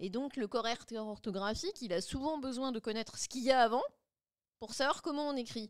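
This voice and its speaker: Fairly quick speech from a woman, high in pitch. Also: ordinary pitch variation. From France, Le Mans. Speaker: linguist and AI consultant. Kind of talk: interview. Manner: fast.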